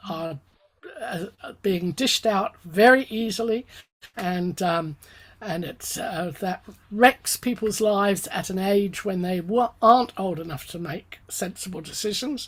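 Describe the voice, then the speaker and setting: A somewhat breathy woman talks at a fairly slow pace, her loudness swinging widely and her pitch varying in an ordinary way. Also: medium pitch for a woman. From England, London. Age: 70s. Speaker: economist. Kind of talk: interview. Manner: halting, many fillers.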